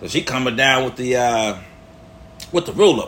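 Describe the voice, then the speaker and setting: A man with a fairly high pitch speaks in an animated tone. Noticeable background noise runs underneath. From Chicago, Illinois. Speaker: first-time podcaster. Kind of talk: storytelling monologue. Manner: casual, slangy.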